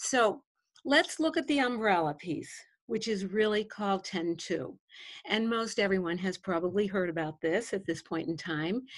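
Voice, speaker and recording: With an American accent and a normal speaking voice, the speaker talks at a moderate pace with lively intonation over a quiet background. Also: woman, medium pitch for a woman. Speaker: education coach and former principal. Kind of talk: interview discussion.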